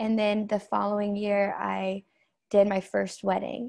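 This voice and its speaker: A woman at a medium pitch against a quiet background. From Oklahoma, Tulsa. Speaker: florist and student entrepreneur. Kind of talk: casual interview.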